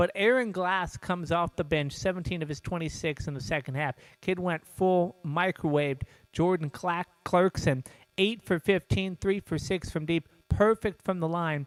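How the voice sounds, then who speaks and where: A man talks at a moderate pace in a high pitch, with ordinary pitch variation. The sound is dry and close, with no echo. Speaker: sports show host. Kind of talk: sports commentary show. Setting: studio. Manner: casual, hesitant with fillers.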